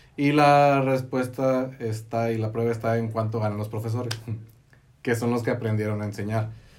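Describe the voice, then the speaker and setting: A man's voice with audible room echo. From Mexico, Baja California (Tecate). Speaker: engineer and network marketing entrepreneur. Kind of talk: casual interview. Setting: studio.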